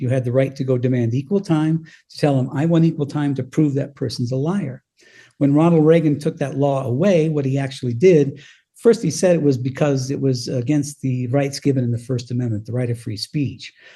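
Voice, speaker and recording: Against a quiet background, a man talks at a fairly quick pace in a dark, mellow tone. His voice is somewhat breathy and fairly high in pitch. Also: ordinary pitch variation. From Colorado. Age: 70s. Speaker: former radio DJ and author. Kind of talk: interview.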